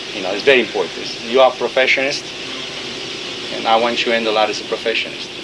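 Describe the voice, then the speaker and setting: A man with a non-native accent talks at a very fast pace in a monotone, flat intonation, with long, frequent pauses. Noticeable background noise and audible room echo fill the recording. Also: medium pitch for a man. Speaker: fashion designer. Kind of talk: backstage briefing to models.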